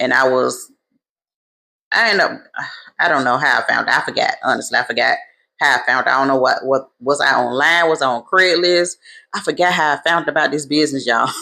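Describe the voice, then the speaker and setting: A woman speaks at a fairly quick pace in an animated, bright and sharp tone, her very deep, low voice showing ordinary pitch variation and very even loudness, with long, frequent pauses on a very clean recording over a silent background. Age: 40s. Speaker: travel business owner. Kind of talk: casual storytelling vlog.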